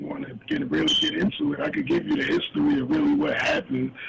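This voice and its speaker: A man rushes through his words at a very fast pace while noticeable background noise carries on. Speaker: businessman and author. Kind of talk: interview.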